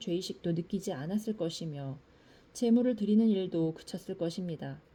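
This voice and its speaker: A woman with a dark, mellow tone and a somewhat breathy voice speaks at medium pitch and a moderate pace with ordinary pitch variation, on a very clean recording with a silent background. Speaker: scripture reader. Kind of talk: reading aloud.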